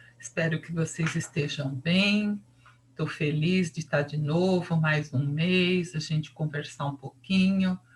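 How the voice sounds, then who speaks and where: Very deep and low, a woman's somewhat breathy voice moves at a very slow pace with fairly even intonation. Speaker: psychology teacher. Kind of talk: lecture. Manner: casual, conversational.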